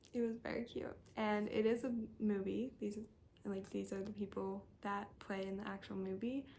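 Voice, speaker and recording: Somewhat breathy and monotone with flat intonation, a woman at medium pitch speaks at a moderate pace. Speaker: book youtuber. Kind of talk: casual chat.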